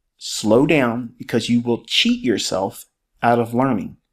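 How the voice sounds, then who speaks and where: The recording is very clean, and the background is silent. A man speaks fairly slowly. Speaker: trading educator. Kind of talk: tutorial.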